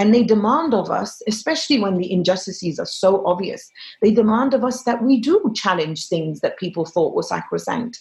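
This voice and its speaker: A woman speaks at a moderate pace in a fairly high, somewhat breathy voice. Her tone is animated and her intonation lively. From Egypt. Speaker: journalist and author. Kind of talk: interview.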